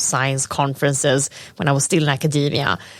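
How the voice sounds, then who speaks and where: A woman speaks with a Swedish accent. Her pace is fairly quick. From Sweden. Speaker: data scientist. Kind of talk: casual chat. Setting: inside a planetarium.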